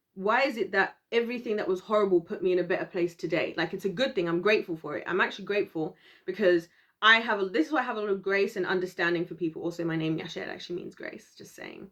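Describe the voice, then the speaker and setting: Here a woman speaks at a very fast pace. Her loudness swings widely. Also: medium pitch for a woman, ordinary pitch variation. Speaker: video blogger. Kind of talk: casual monologue to camera. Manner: animated.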